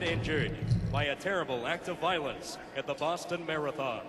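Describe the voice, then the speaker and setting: Ordinary pitch variation from a man, with noticeable background noise. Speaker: stadium public address announcer. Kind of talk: stadium PA announcement, solemn tribute. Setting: PA system in a stadium. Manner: solemn, measured.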